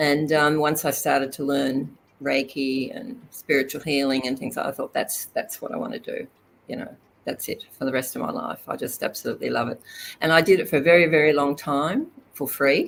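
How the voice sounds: A woman with an Australian accent, extremely low pitch, vocal fry, fairly even intonation and a moderate pace.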